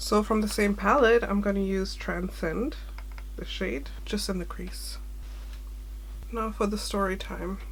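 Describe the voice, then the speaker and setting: A woman talks at a fairly slow pace with long, frequent pauses. Noticeable background noise and audible room echo surround her voice. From Sri Lankan heritage, grew up in Germany. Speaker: beauty vlogger. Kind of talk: makeup tutorial with personal storytime. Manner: casual, rambling.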